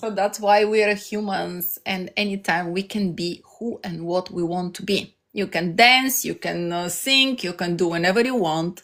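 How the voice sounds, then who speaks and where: A woman with a Bulgarian accent, fairly slow in pace, with ordinary pitch variation, on a very clean recording with a silent background. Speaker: life coach streamer. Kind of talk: live stream motivational talk. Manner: halting.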